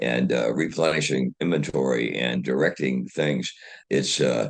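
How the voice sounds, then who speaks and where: A man's very deep, low pitch with vocal fry, ordinary pitch variation and an American accent. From US Midwest, Dayton Ohio. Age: 80s+. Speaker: retired engineer and inventor. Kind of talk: interview. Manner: halting, many fillers and repetitions.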